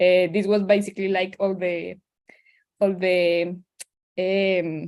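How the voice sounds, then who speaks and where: Her tone is dark and mellow, and this woman speaks at a medium pitch. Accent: Spanish. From Colombia, Eastern Andes. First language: Spanish. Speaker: climate organizer. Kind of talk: presentation. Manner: halting.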